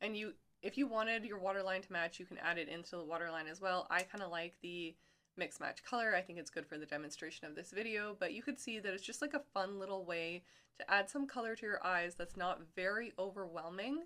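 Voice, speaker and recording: With a bright, sharp tone, a woman talks at a fairly quick pace and ordinary pitch variation. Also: medium pitch for a woman. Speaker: makeup tutorial creator. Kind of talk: makeup tutorial talk to camera.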